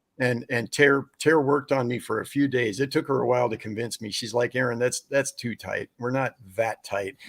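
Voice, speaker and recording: Speaking at a fairly quick pace with hardly any pauses, a man uses a medium pitch and fairly even intonation, and the sound is dry and close with no echo. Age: 60s. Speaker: ministry founder and documentary maker. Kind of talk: interview. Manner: halting.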